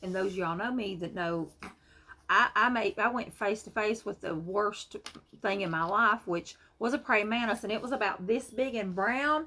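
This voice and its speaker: In an American accent, a woman speaks at a moderate pace with ordinary pitch variation. Her voice is fairly high, with a bright, sharp tone. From US Appalachia. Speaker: vlogger. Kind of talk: casual storytelling vlog. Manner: animated.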